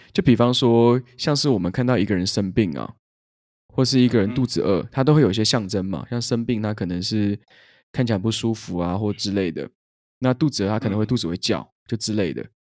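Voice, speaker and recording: Over a silent background in a very clean recording, a man with a fairly low pitch and ordinary pitch variation speaks fairly quickly in a plain, everyday voice. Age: 20s. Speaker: podcast co-host and growth training consultant. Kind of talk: casual chat.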